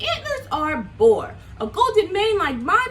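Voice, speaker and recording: A woman puts on a character voice at an extremely high pitch, with clear background noise behind her. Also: fairly slow pace. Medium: read story.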